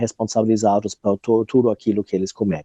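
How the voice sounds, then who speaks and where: A man's dark, mellow tone with a German accent, dry and close with no echo, over a quiet background. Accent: foreign (German) accent in Portuguese. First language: German (speaking Portuguese). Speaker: researcher and activist. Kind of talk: interview conversation. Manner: hesitant, many fillers.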